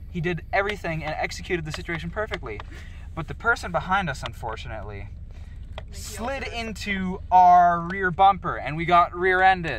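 At a moderate pace, the voice comes through with light background noise and a dry sound with no echo. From Canada. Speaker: podcast host unboxing toys. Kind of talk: casual chat. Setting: in a moving car. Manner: giggly, hesitant with fillers. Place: car.

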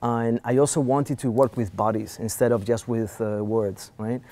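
A man with a Spanish accent speaks in a dark, mellow tone with fairly even intonation. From Spain. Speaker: philosopher and filmmaker. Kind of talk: interview. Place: studio.

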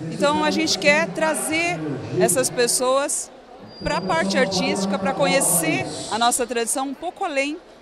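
The speech comes at a moderate pace against loud background noise. The sound is dry, with no echo. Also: woman. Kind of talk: interview answer. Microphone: handheld.

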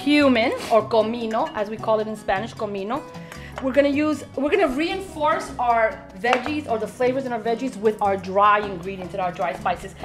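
A woman talks at a fairly quick pace. Clear music sounds in the background. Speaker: guest. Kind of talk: cooking show tutorial. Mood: warm, laughing. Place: kitchen.

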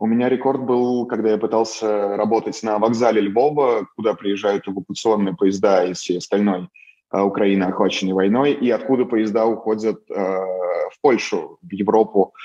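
Over a quiet background, a man with a Moscow accent speaks at a fairly low pitch. His pace is moderate and his intonation fairly even. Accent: Moscow Russian. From Russia, Moscow. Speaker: photojournalist. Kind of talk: interview. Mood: calm, reflective, a bit rueful. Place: home room. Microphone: video call.

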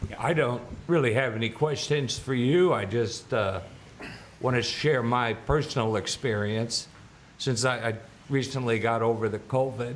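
Here a man talks at a moderate pace and medium pitch. He has an unremarkable speaking voice with ordinary pitch variation. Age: 60s. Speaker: public commenter. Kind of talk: testimony.

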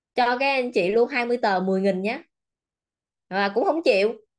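Against a quiet background, a woman with a fairly high pitch speaks at a moderate pace in an animated tone with lively intonation. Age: 30s. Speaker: self-development coach. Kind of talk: motivational seminar talk. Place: office. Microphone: webcam.

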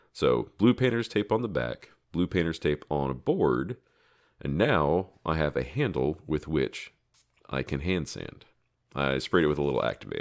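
A man speaks at a moderate pace with a very deep, low pitch and vocal fry. The recording is very clean, with a silent background. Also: lively intonation. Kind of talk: craft tutorial narration. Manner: casual, self-deprecating with laughs.

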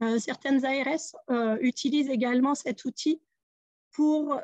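Against a quiet background, a woman speaks in a high pitch. The sound is dry with no echo, and her intonation is fairly even. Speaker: care home director; webinar speaker. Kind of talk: webinar presentation. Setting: Zoom webinar. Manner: hesitant, repeats words. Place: office. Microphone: video call.

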